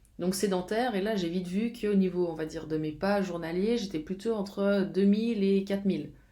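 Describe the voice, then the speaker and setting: With audible room echo, a woman speaks at a fairly quick pace with hardly any pauses, her medium-pitched voice dark and mellow in tone and her intonation fairly even. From Switzerland, Geneva. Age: 30s. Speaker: fitness coach. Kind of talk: casual vlog talk. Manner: halting, many fillers.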